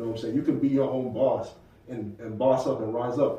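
Noticeable background noise and audible room echo fill the recording. A man with an American accent talks at a fairly quick pace. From New Bedford, Massachusetts. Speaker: app co-founder. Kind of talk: casual interview.

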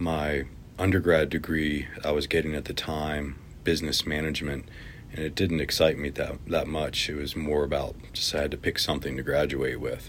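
A man with an American accent, a very deep, low pitch and monotone, flat intonation at a moderate pace. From Virginia, semi-rural. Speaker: community bike activist. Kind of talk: interview.

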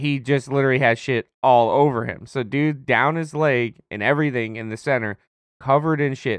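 This man has a plain, everyday voice at a medium pitch. He keeps a moderate pace with ordinary pitch variation. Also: dry, close sound with no echo. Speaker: podcast co-host, retail worker. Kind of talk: casual chat.

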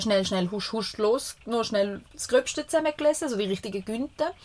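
This woman has a normal speaking voice with a fairly high pitch. She talks at a moderate pace. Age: 30s. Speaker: podcast co-host, mother. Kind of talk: casual chat. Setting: caravan studio.

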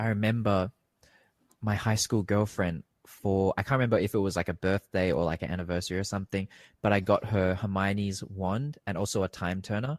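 A man with an Australian accent talks at a fairly quick pace in a fairly low pitch. The recording is very clean, with a silent background. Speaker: podcast guest. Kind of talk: casual chat. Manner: animated, rambling with many fillers.

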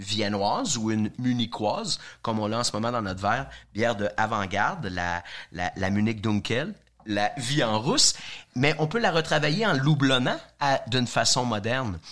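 A man in a normal speaking voice talks at medium pitch and a fairly slow pace, with lively intonation. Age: 50s. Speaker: beer sommelier. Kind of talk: casual chat.

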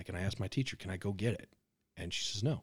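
A somewhat breathy, fairly low-pitched man's voice at a very fast pace with lively intonation, on a very clean recording with a silent background. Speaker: podcast co-host. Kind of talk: casual chat.

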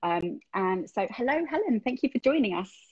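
This is a woman speaking with a British accent. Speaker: podcast host. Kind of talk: casual interview. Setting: Instagram Live video call.

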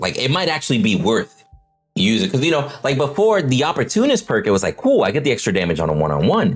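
A man's fairly high voice with vocal fry, very fast, with very wide pitch swings and very even loudness. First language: not English. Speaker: gaming podcast host. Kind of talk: casual chat.

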